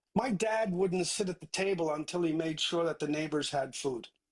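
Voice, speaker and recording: This man speaks with a Newfoundland accent. His pitch sits fairly high. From Newfoundland, Canada (Placentia). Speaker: tech entrepreneur. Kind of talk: interview.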